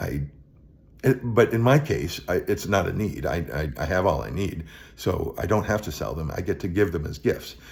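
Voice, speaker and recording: On a very clean recording with a silent background, a man speaks at a moderate pace in a very deep, low voice with vocal fry and very wide pitch swings. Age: 60s. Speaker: vlogger. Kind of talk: casual monologue. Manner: halting, many repetitions and fillers.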